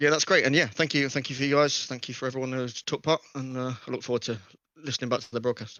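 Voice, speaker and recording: Very fast speech with an English accent and fairly even intonation. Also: man, medium pitch for a man. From England. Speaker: sim racing driver. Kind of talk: post-race interview. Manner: halting.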